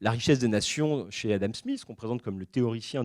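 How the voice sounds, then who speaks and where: The man speaks with lively intonation. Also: very clean recording, silent background. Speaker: historian giving a public talk. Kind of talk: lecture. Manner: fast; hesitant, many fillers.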